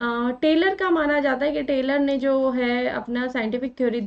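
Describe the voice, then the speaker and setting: With a high pitch and ordinary pitch variation, a woman talks at a very slow pace. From India. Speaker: online exam-prep teacher. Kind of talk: lecture.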